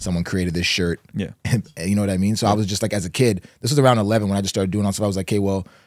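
Against a quiet background, a man speaks at a very deep, low pitch with ordinary pitch variation and a dry sound with no echo. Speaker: podcast guest. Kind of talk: interview answer. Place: studio. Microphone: studio mic.

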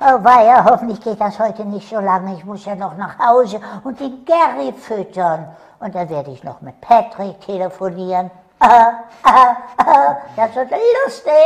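A man puts on a character voice pitched high for a man, with lively intonation and big swings in loudness. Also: moderate pace. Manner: upbeat.

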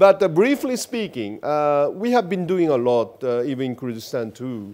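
A man with a Japanese accent and very wide pitch swings. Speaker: ambassador; interviewee. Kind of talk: interview. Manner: hesitant, many fillers. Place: studio. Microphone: lapel.

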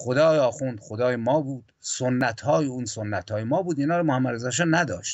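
A man's medium-pitched voice with lively intonation at a moderate pace, over a quiet background. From Iran. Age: 60s. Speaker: poet and historian; poet. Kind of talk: political history discussion. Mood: serious, reflective, aggrieved. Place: home room. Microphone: video call.

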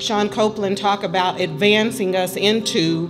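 A woman's voice over clear background music. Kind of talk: event speech. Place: hall. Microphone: handheld.

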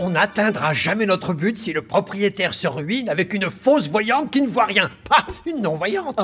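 A cartoonish character voice at a moderate pace over clear music in the background. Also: man, high pitch for a man. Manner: dry, sarcastic, irritable.

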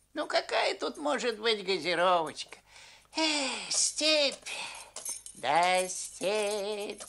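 A man with a high pitch uses a raised, projected voice with very wide pitch swings, talking at a very slow pace broken by long, frequent pauses. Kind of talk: comic fairy-tale film acting. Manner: fawning, bossy to underlings.

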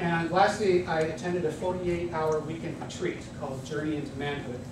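A man at a fairly quick pace, with noticeable background noise and audible room echo. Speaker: guest. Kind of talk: lecture. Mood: humorous, engaged. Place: classroom. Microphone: camera far.

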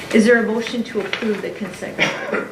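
Noticeable background noise and audible room echo around a woman's voice of medium pitch. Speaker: school board chair. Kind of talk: public meeting. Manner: hesitant, many fillers.

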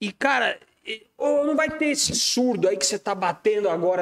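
The speaker talks at a fairly quick pace with lively intonation. The background is quiet. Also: man. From Brazil. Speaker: podcast host and musician; podcast host. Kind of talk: casual chat. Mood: lively, animated storytelling. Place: studio. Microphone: studio mic.

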